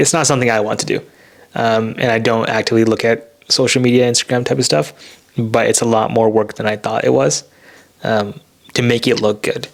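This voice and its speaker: Mumbling in an American accent, this voice keeps a very even loudness and ordinary pitch variation. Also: man, medium pitch for a man. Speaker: podcast co-host, software engineer. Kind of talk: casual chat. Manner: soft-spoken.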